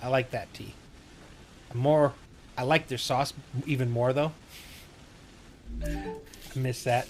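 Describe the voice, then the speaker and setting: Over music in the background, a man at a medium pitch talks at a fairly slow pace with fairly even intonation and long, frequent pauses. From Wisconsin. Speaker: gaming streamer, navy veteran. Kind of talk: casual chat during gameplay livestream.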